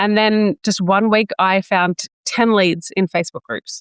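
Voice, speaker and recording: A woman is heard in a dry, close sound with no echo on a very clean recording with a silent background. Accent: Australian. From New South Wales, Australia. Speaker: business coach and entrepreneur. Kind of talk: interview, telling own story.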